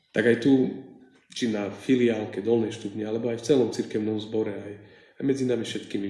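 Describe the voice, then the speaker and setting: A man talks at a fairly quick pace and medium pitch, with audible room echo. His intonation is monotone and flat. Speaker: preacher. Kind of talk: sermon. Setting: church.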